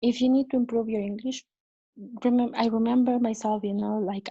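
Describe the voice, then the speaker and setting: A woman with a fairly high pitch, a dark, mellow tone and a somewhat breathy sound, at a fairly quick pace in a monotone, flat delivery. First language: not English. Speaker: cruise ship crew member. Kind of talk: interview. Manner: halting.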